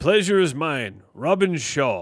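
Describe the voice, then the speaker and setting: A man's put-on character voice, fairly high-pitched with very wide pitch swings, at a fairly slow pace. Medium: game stream. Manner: terse, dry.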